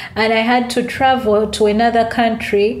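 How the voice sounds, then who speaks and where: Here a woman speaks with a Ugandan accent. She keeps a moderate pace. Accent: Ugandan English, noticeable. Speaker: author and entrepreneur. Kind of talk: interview, casual chat.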